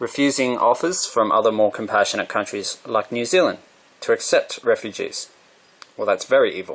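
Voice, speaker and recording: A man with an Australian accent. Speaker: vlogger. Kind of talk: monologue.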